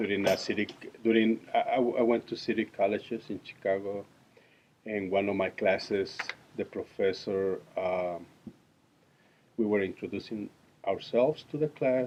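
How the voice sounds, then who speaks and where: A man with a Mexican accent, fairly even intonation, a moderate pace and long, frequent pauses, over noticeable background noise. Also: fairly low pitch for a man. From Mexico. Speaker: interviewee, immigrant. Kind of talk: interview. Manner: halting.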